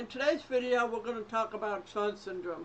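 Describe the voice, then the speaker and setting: A woman with a fairly high pitch and ordinary pitch variation. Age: 40s. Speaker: vlogger with a genetic disorder. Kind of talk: personal explainer vlog. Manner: halting.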